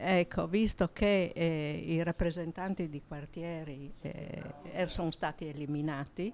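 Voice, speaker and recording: Very slowly, the speech unfolds with normal ups and downs in pitch. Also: woman. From Gorizia, northeastern Italy. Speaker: neighbourhood resident and storyteller. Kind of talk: casual chat.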